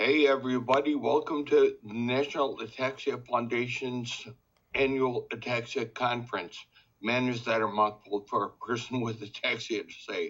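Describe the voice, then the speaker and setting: A man's loudness rises and falls sharply as he talks at a moderate pace. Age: 60s. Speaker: ataxia patient advocate. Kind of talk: casual presentation.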